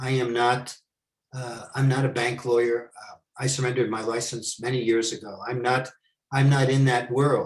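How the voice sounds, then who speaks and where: A man's medium-pitched, somewhat breathy voice with an American accent, monotone, flat intonation and big swings in loudness. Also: moderate pace. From New York. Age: 70s. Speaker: former money launderer turned consultant. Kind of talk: Q&A talk.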